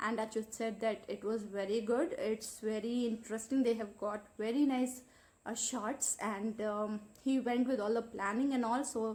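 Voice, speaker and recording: With an Indian accent, a woman speaks at a fairly slow pace in a fairly high, somewhat breathy voice with fairly even intonation. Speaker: vlogger. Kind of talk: casual vlog talk. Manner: hesitant, many fillers.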